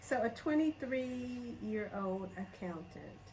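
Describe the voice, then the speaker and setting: A woman with a Southern US accent amid noticeable background noise. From Alabama, US South. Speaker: vlogger. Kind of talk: casual interview chat.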